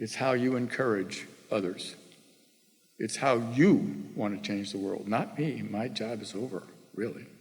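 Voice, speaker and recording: There is audible room echo as a man with vocal fry talks at a fairly slow pace and medium pitch, with ordinary pitch variation. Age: 70s. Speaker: former tech executive, guest speaker. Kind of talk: keynote talk to students.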